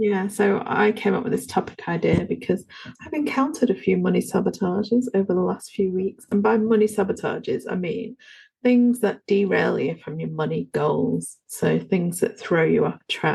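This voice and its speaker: With an English accent, a woman is talking. She keeps a moderate speed. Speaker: podcast co-host and yoga teacher. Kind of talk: casual chat.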